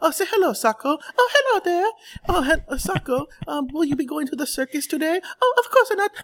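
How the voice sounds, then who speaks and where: In a put-on character voice, the speaker goes extremely high in pitch with very wide pitch swings at a moderate pace. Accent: Italian. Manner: playful, cartoonish.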